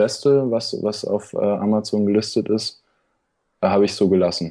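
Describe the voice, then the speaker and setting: A man's fairly low-pitched voice with a dark, mellow tone and monotone, flat intonation. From Berlin. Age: young. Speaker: student and online seller. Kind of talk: casual interview. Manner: halting, many fillers.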